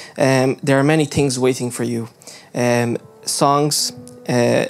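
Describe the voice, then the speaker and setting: Faint music plays in the background while a man speaks at a fairly slow pace. His intonation is monotone and flat. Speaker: youth service host. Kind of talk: church service welcome. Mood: warm, earnest. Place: hall. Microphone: handheld.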